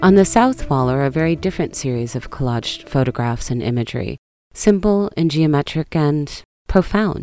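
With music in the background, a woman with an American accent talks at a moderate pace in a very deep, low pitch and lively intonation. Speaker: art podcast host. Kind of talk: scripted narration.

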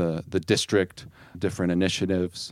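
This is a man with a Midwestern American accent. He speaks at a moderate pace. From US Midwest, Ohio. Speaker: bilingual education support worker. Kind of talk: casual interview.

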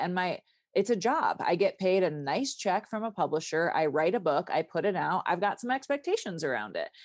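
Speaking at a fairly quick pace, a woman uses a medium pitch in a plain, everyday voice. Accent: American. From Michigan, US Midwest. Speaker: dancer, writer and quiltmaker. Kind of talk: casual interview conversation.

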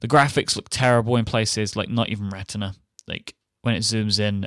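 With an English accent, a man talks at a fairly quick pace and a fairly low pitch, his intonation fairly even and the sound dry and close with no echo. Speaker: podcast host. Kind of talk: casual chat; sponsor read. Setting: remote recording.

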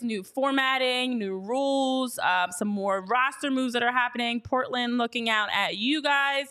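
Raising and projecting her voice, a woman speaks with a high pitch, a bright, sharp tone and ordinary pitch variation. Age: 30s. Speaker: sports podcast host. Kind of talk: casual chat.

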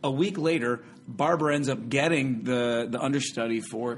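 A man speaks in a normal speaking voice. His pace is moderate and his pitch variation is ordinary. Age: 40s. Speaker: stage actor. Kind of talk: casual chat.

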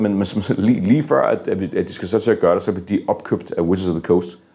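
In a dark, mellow tone with vocal fry, a man speaks very fast with ordinary pitch variation. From Denmark, moved from US at age four. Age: 50s. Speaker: board game publisher. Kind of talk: interview. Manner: halting, many fillers and repeated words.

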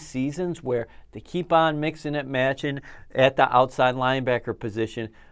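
The man talks at a moderate pace. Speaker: team reporter. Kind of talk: casual sports podcast chat.

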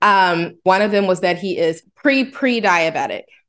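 In a normal speaking voice at medium pitch, a woman talks with lively intonation against a quiet background. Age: 30s. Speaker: host's wife. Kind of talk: casual chat.

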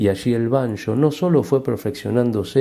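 A man's dark, mellow tone rises and falls with ordinary pitch variation. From Argentina. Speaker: banjo player. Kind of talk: interview.

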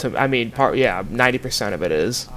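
Noticeable background noise sits behind a man speaking at a fairly quick pace and medium pitch. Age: 20s. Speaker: podcast co-host, former student reporter. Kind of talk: casual chat.

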